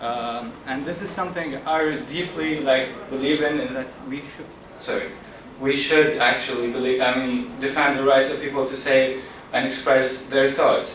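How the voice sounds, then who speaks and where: A man with an Iraqi accent speaks at a fairly high pitch and a moderate pace, his intonation fairly even. Audible room echo and noticeable background noise are present. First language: Arabic. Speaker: activist speaker. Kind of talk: public talk. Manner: halting, many fillers.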